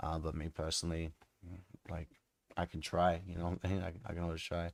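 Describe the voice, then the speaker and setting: With an Australian accent and a very deep, low pitch, a man speaks at a fairly quick pace, the sound dry with no echo over a quiet background. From Australia, Melbourne. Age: 20s. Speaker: music producer streamer. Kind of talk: casual chat. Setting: live stream. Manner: casual, hesitant. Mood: relaxed, friendly. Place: home room.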